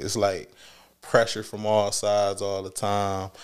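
In a Detroit accent, a man speaks at a fairly low pitch on a very clean recording with a silent background. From Detroit, Michigan. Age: middle-aged. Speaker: music artist. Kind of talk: casual interview chat.

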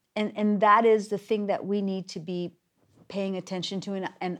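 With a plain, everyday voice, a woman talks at a moderate pace and medium pitch. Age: 50s. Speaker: theater company podcast host. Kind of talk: casual chat.

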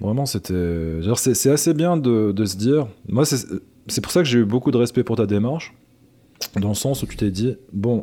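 At a moderate pace, a man with a dark, mellow tone and medium pitch uses lively intonation and takes long, frequent pauses. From Algeria (Algiers). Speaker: podcast host. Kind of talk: casual chat.

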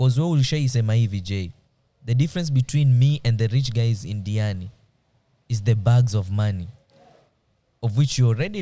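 A man's dark, mellow, somewhat breathy voice at medium pitch, with ordinary pitch variation and a moderate pace. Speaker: podcast host. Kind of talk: casual chat; reading aloud. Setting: studio.

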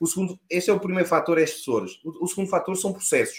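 This is a man speaking. He has a Lisbon accent. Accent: European Portuguese, Lisbon. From Portugal, Lisbon. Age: 40s. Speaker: cybersecurity specialist. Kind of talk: interview.

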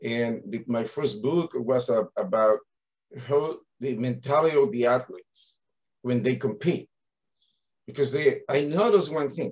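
In a Spanish accent, a fairly high-pitched man speaks at a fairly slow pace with lively intonation. He pauses often and at length. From Spain. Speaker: coach of athletes, mindset coach. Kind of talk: casual interview chat.

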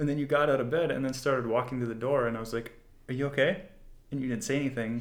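In a Canadian accent, a man talks very fast at a medium pitch with ordinary pitch variation. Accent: sounds Canadian. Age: 20s. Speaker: host's boyfriend, guest. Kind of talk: casual chat.

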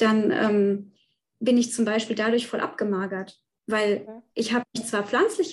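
A somewhat breathy, fairly high-pitched woman's voice. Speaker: nutrition scientist, guest. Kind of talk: testimony.

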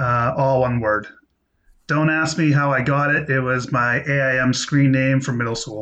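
Against a quiet background, a man with a bright, sharp tone speaks at medium pitch and a moderate pace, his intonation fairly even. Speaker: film podcast guest. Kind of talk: casual chat.

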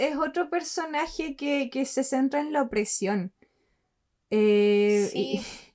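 At a very slow pace, a woman with a dark, mellow tone and a high pitch swings very widely in pitch. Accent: Chilean. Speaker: podcast co-host. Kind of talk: casual chat.

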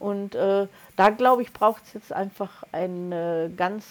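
Using ordinary pitch variation and a medium pitch, a woman speaks in a plain, everyday voice. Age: 60s. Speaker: podcast co-host, energy coach. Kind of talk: casual chat.

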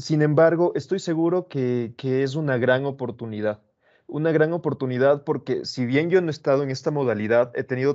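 An unremarkable speaking voice, this man's medium-pitched delivery moves at a fairly quick pace with ordinary pitch variation. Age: 20s. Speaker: motivational coach. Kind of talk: casual chat.

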